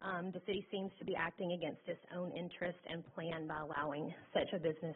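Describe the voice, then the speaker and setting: This woman's voice has a medium pitch and ordinary pitch variation. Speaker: resident speaking at public comment. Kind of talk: public comment at council meeting. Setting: council chamber at a microphone. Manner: loud; reads prepared statement with hesitations.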